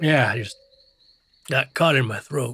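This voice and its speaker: Here is a put-on character voice with a raspy sound. It moves at a moderate pace with ordinary pitch variation. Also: man. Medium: audio drama. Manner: gruff, terse.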